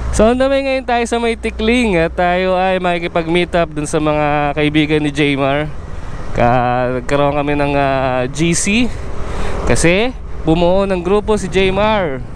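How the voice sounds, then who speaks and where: A man with a high voice speaks fairly slowly, his intonation lively, over noticeable background noise. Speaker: motovlogger. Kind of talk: casual vlog narration.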